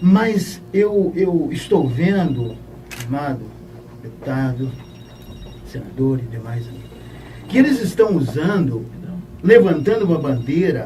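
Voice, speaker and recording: A man's fairly high voice at a very slow pace, with very wide pitch swings, audible room echo and noticeable background noise. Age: 60s. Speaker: pastor and retired army officer. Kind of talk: audience question. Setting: radio studio.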